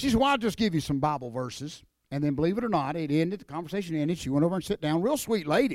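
Talking very fast, a man speaks with an Appalachian accent. His fairly high voice swings very widely in pitch. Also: very clean recording, silent background. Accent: Appalachian Southern US. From North Carolina mountains. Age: 50s. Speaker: professional wrestler and evangelist. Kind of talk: testimony. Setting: church.

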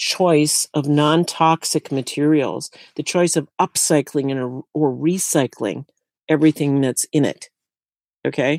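Dry and close with no echo, the recording captures a woman with a very deep, low pitch. She talks at a very slow pace with fairly even intonation. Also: very clean recording, silent background. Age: 60s. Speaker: tiny house builder and sustainability educator. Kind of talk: interview.

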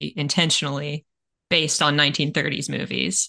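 A woman speaks at a fairly quick clip in a very deep, low voice with a bright, sharp edge and vocal fry. The background is quiet. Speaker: podcast co-host. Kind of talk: casual chat. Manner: talkative.

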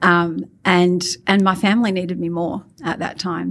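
In an Australian accent, a woman speaks at a moderate pace with fairly low pitch and fairly even intonation. The recording is very clean, with a silent background. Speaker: marketing executive. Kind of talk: interview.

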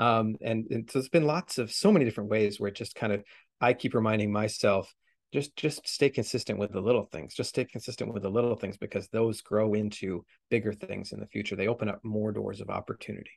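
Against a quiet background, a man with a western Canadian accent talks at a very fast pace. His pitch is fairly low, with ordinary variation. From Canada, Vancouver area. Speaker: author. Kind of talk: interview.

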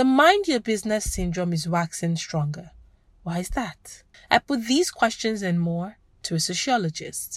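Speaking at a moderate pace, a woman with a medium pitch sounds somewhat breathy and uses lively intonation. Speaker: podcast host and reporter. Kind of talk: scripted narration. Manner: formal.

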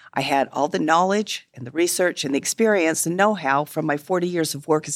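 A woman's very deep, low voice at a fairly quick pace with ordinary pitch variation, dry and close with no echo, on a very clean recording with a silent background. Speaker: retired therapist. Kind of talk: casual interview.

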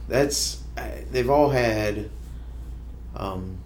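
A man talks with a US Midwestern accent at a very slow pace. Room echo is audible. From Ohio, Kenton. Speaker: school superintendent. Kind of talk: interview. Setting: studio. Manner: halting, with many fillers.

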